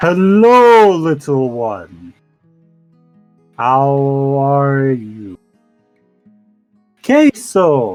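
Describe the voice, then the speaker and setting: A man uses a put-on character voice at a fairly high pitch, speaking at a very slow pace. His long, frequent pauses sit over faint music in the background. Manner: gentle, friendly greeting.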